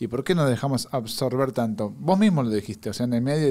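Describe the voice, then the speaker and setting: This man has a dark, mellow tone and talks at a fairly quick pace. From Argentina. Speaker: podcast host. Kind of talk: casual chat. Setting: studio. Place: studio. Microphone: studio mic.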